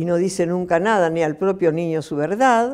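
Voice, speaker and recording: This is a woman speaking. Her voice has a dark, mellow tone. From Argentina. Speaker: human rights activist. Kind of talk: interview answer. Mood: calm, earnest. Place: home room. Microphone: lapel.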